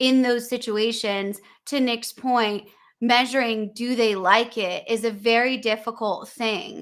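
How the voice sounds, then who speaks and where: A woman with an American accent speaks in a bright, sharp tone at a fairly high pitch, her intonation fairly even, on a very clean recording with a silent background. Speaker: podcast host. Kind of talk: live interview conversation.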